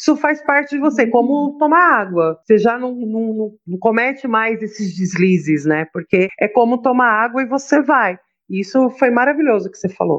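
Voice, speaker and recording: With an ordinary speaking voice, a woman talks at a fairly high pitch and a moderate pace, her intonation lively and her speech flowing with hardly any pauses. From Brazil, São Paulo. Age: 40s. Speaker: holistic therapist. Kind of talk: casual chat.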